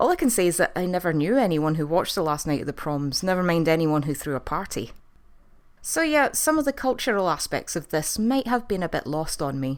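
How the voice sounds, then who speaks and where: Very wide pitch swings in a Scottish accent at a fairly quick pace. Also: woman, fairly low pitch for a woman, very clean recording, silent background. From Scotland. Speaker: TV review youtuber. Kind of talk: video review monologue.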